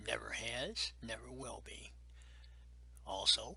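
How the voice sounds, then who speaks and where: A man whispers with an American accent. Background noise is noticeable. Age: 70s. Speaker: navy veteran. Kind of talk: interview testimony. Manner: emphatic.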